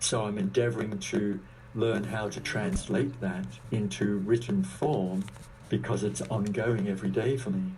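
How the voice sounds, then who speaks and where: The voice has a dark, mellow tone and sounds somewhat breathy. It moves at a fairly slow pace, with audible room echo. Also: man, fairly low pitch for a man, lively intonation. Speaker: spiritual teacher and author. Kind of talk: interview.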